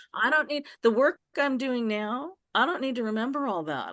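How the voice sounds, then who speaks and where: The speech comes at a moderate pace. The background is quiet, and the sound is dry and close with no echo. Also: woman. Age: 60s. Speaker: self-described reverend and demonologist. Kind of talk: casual interview, personal testimony. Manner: halting, repetitive.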